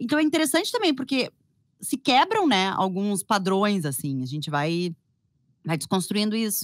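A woman at a moderate pace with very wide pitch swings, in a dry sound with no echo and a quiet background. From Porto Alegre, Brazil. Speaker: journalist and fashion podcaster; journalist, fashion podcaster. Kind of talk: casual chat. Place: home room. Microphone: studio mic.

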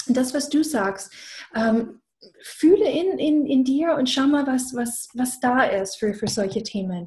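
A woman's high voice with an English accent, lively intonation and a very slow pace, against a quiet background. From USA. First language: English (speaking German). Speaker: business coach. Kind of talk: casual chat. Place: home room. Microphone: video call.

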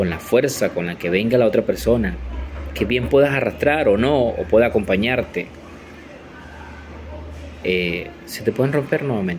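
A man speaks at a moderate pace with lively intonation and long, frequent pauses, over light background noise. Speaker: commercial voice-over announcer and social communicator. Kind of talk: motivational podcast talk. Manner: reflective, encouraging. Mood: calm, reflective. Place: home room. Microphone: phone near.

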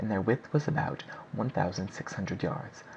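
A man speaks in a calm tone against noticeable background noise. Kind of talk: audiobook narration, scripted reading aloud of a 19th-century novel. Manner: steady, even-paced and formal, with measured, clear delivery; calm, expository, lecture-like tone.

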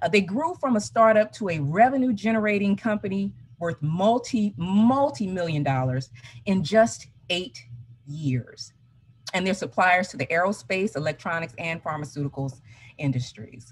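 This woman talks at a moderate pace. Her pitch swings very widely. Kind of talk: conference presentation. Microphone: video call.

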